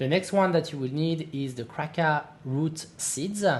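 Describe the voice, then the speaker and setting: This voice carries a French accent. Delivery is fairly slow. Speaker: gaming youtuber. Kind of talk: tutorial. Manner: halting, many fillers.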